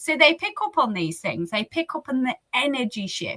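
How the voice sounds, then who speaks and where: The speaker has a British accent and a raised, projected voice. The sound is dry and close, with no echo. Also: woman. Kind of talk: interview conversation. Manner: animated.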